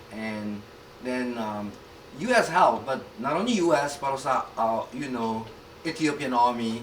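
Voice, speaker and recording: At a moderate pace and medium pitch, a man speaks with ordinary pitch variation and long, frequent pauses, amid audible room echo and noticeable background noise. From South Korea. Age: 60s. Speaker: pastor. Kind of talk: interview. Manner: halting.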